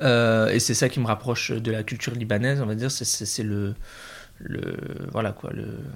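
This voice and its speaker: Medium pitch from a man's voice. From northern France, Picardy (Oise). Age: 20s. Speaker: business student. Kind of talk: casual chat. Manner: halting.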